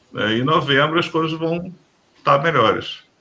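A man speaks in a fairly high pitch. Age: 40s. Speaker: bushcraft group leader. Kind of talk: casual chat. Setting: live stream.

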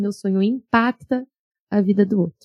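A dark, mellow tone comes through with a dry, close sound and no echo. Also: woman. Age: 30s. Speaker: podcast host. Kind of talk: personal monologue podcast.

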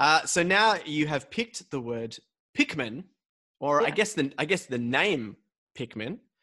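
A man with an Australian accent speaks at a fairly slow pace in a fairly high, bright and sharp voice whose pitch swings very widely, against a quiet background. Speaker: podcast host. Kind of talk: casual chat. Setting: video call.

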